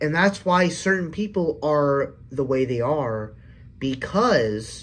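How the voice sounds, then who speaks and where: A somewhat breathy male voice. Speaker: movie reviewer. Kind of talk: casual livestream review. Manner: halting.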